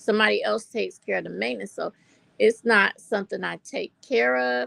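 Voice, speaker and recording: A woman with an American accent at a fairly quick pace, in a dry, close sound with no echo. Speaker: livestreamer. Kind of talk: casual chat. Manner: animated.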